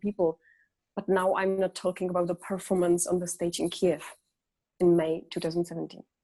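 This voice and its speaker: With a Czech accent, a woman speaks at a fairly quick pace in a medium pitch, her tone dark and mellow and her intonation flat and monotone. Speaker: singer. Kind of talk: interview. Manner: halting.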